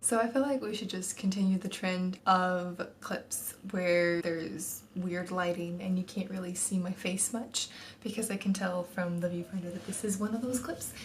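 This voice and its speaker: A woman with an American accent at medium pitch, moderate pace, hardly any pauses, and fairly even intonation, over noticeable background noise. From Texas. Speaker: book vlogger. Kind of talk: casual talk to camera.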